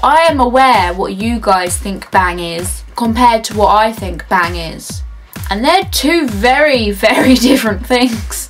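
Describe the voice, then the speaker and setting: A woman with a British accent at a fairly slow pace, music in the background. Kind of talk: casual talk to camera. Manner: upbeat, jokey.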